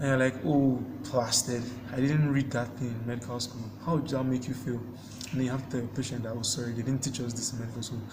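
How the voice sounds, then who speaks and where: A man at medium pitch amid noticeable background noise and audible room echo. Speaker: medical student vlogger. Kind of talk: casual vlog monologue.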